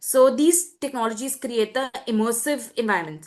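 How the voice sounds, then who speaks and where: A woman speaks in an Indian accent. Her pitch is high. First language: Hindi. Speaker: student presenter. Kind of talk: webinar presentation.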